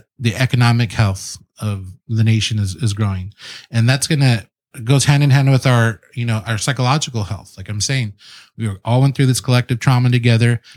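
In a very clean recording with a silent background, a man with an American accent speaks in a plain, everyday voice. His pitch is medium, his pace moderate, and his pitch variation ordinary. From San Diego South Bay, California. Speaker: restaurateur and city councilman. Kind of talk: casual chat. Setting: studio.

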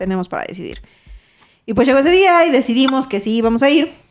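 A woman's pitch swings very widely while music plays behind her. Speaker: podcast co-host. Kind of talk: casual chat.

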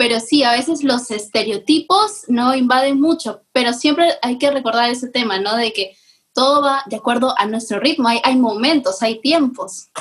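A woman with a high voice talks at a moderate pace, with ordinary pitch variation and hardly any pauses. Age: 20s. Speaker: podcast co-host, business engineer. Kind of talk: casual chat.

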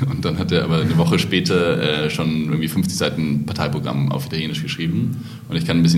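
A man's very deep, low voice at a very fast pace with lively intonation, amid audible room echo and noticeable background noise. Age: 30s. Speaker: party founder, politician. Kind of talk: casual chat.

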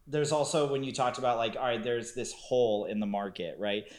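A man speaks in an unremarkable speaking voice at a medium pitch. His intonation stays fairly even. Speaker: podcast co-host. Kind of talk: casual chat.

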